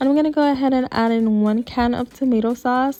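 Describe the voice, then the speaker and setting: A woman speaks with a slight Puerto Rican accent. Music plays in the background. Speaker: cooking video creator. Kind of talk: cooking tutorial. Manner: casual, chatty.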